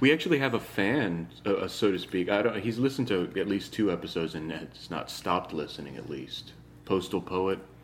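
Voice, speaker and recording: A man with a plain, everyday voice, fairly low in pitch, at a fairly quick pace with lively intonation. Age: 30s. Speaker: podcast host. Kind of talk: casual chat. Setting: recorded without equipment.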